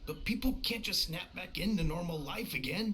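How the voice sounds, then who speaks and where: A man's raspy, fairly high put-on character voice over clear background noise. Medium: video game. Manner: casual, friendly.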